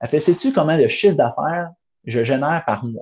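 A man with a Quebec accent talks at a fairly quick pace with lively intonation. His tone is animated and somewhat breathy. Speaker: entrepreneur. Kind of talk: interview.

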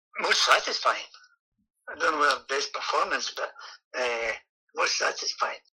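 The speaker has a Scottish accent and talks at a moderate pace. Long pauses come often. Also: man. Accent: Scottish (Ayrshire). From Scotland, Kilmarnock, Ayrshire. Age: 60s. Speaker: retired footballer. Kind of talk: interview. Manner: halting.

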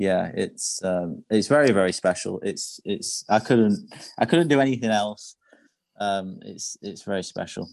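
Someone with a northern English accent speaks fairly slowly with ordinary pitch variation against a quiet background. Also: man, fairly low pitch for a man. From northern England. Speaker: chef. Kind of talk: interview, personal story.

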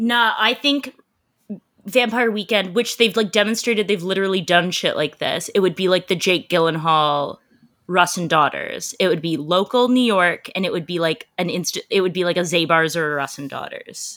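In a Canadian accent, a woman speaks with a plain, everyday voice at a medium pitch. Her pitch variation is ordinary and her pace moderate. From Canada. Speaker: entertainment journalist. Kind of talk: casual chat.

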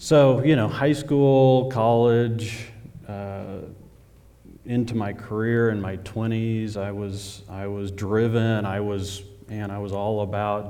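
At a very slow pace, a man with an American accent talks in a fairly low pitch and fairly even intonation. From Oklahoma, near Oklahoma City. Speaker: church member. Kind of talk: testimony. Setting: church stage with audience.

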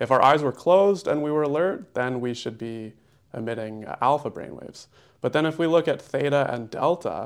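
A man speaks at a moderate pace with ordinary pitch variation, in an ordinary speaking voice. The recording is very clean, with a silent background. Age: 20s. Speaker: holistic nutritionist. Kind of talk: casual interview.

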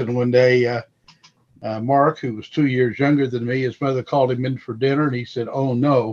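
A man speaks at a moderate pace with an American accent, a medium pitch and fairly even intonation, in a plain, everyday voice. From Missouri. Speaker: apologetics ministry member. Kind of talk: casual roundtable discussion. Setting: phone or video call.

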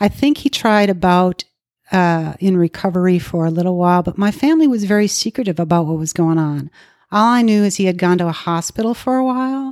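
An unremarkable speaking voice with an American accent moves at a fairly quick pace with lively intonation, in a dry, close sound with no echo on a very clean recording with a silent background. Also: woman, medium pitch for a woman. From Minnesota, US Midwest. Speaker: recovering alcoholic sharing her story. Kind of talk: testimony.

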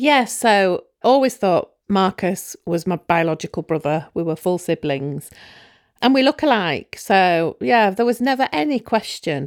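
In a British accent, a woman speaks at a medium pitch and a fairly slow pace, her pitch swinging very widely. The sound is dry and close with no echo, on a very clean recording with a silent background. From UK. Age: 40s. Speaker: donor-conceived person searching for her biological father. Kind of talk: interview about personal story.

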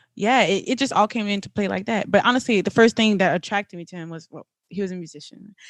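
Very fast and in a South Louisiana accent, a woman speaks at a medium pitch with ordinary pitch variation and big swings in loudness, on a very clean, dry, close recording with a silent background and no echo. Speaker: podcast host, wife. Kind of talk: casual chat.

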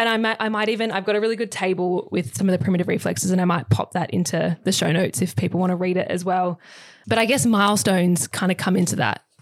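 A woman talks at a very fast pace with a medium pitch and ordinary pitch variation. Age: 20s. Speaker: chiropractor. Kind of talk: casual chat.

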